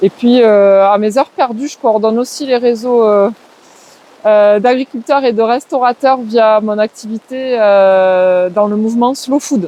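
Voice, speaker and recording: A woman with a slight southwestern French accent speaks at a fairly slow pace, her pitch fairly high with ordinary variation. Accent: slight southwest French. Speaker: forest garden trainer and community ecology worker. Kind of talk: interview. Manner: hesitant, many filler words.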